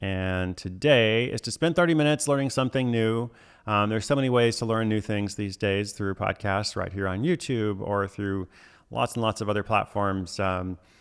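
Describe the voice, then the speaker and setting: Moderately paced male speech, fairly low in pitch, in an unremarkable speaking voice. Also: ordinary pitch variation. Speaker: author and livestream host. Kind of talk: live stream chat with viewers. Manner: casual, many fillers.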